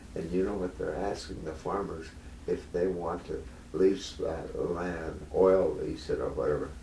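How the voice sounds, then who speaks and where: A man speaks at a fairly slow pace. He has an American accent, and audible room echo surrounds his voice. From rural North Dakota, US. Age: 80s+. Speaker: retired patient at a doctor visit. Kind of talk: casual chat. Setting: doctor's office.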